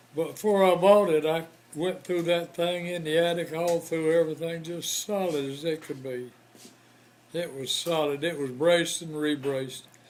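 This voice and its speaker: A man with a Southern US accent talks at a moderate pace in a high pitch. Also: fairly even intonation. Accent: Southern American. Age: 80s+. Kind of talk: interview answer. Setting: hospital room.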